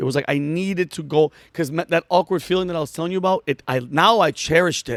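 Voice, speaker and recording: This man speaks at a fairly quick pace in a fairly high pitch, with ordinary pitch variation and an animated tone. The sound is dry and close, with no echo. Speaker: comedian and military veteran. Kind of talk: casual interview chat. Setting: studio. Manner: fast.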